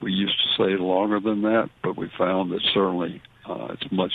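In a Southern US accent, a man with a very deep, low pitch speaks at a moderate pace with fairly even intonation. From US South. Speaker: veterinarian. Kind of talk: call-in radio show.

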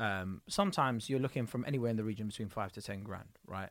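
A man in a South London accent speaks with lively intonation on a very clean recording with a silent background. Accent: south London, multicultural London English. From south London (Tulse Hill), Kurdish family. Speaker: comedian. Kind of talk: casual interview chat.

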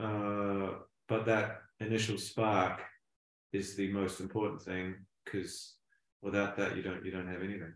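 A man with a New Zealand accent speaks at a fairly slow pace and a fairly low pitch, in a monotone, flat intonation. Long, frequent pauses break his speech, and the room echo is audible. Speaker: songwriter and producer. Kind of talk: interview.

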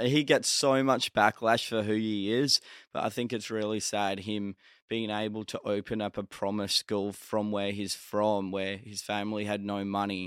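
In an Australian accent, a man speaks in a fairly low, monotone voice with flat intonation, on a very clean recording with a silent background and a dry, close sound with no echo. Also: moderate pace. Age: young. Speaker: social media content creator. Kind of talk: interview.

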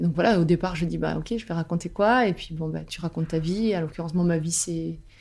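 A woman talks at a fairly quick pace in a fairly low, somewhat breathy voice with ordinary pitch variation. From southern France, Albi. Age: 30s. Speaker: novelist. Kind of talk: interview, casual chat. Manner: hesitant, many fillers.

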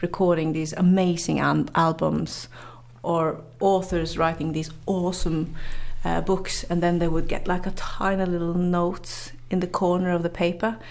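A woman speaks with a Norwegian accent, her pitch fairly low and her pace fairly slow. Her intonation stays monotone and flat. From northern Norway. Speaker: journalist and motivational speaker. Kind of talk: interview. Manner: halting, many fillers and repetitions.

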